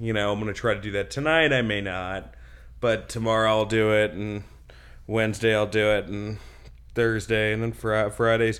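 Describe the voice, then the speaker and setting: A man with a normal speaking voice and an American accent, fairly low in pitch, at a moderate pace. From New Jersey and Westchester, New York. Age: 30s. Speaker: stand-up comedian and TV writer. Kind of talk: casual interview. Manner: casual, filler-heavy, self-interrupting.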